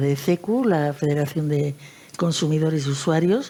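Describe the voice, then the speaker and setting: A woman talks at a fairly slow pace with a very deep, low pitch and ordinary pitch variation. Noticeable background noise can be heard. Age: 70s. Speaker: consumer federation president. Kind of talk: panel discussion.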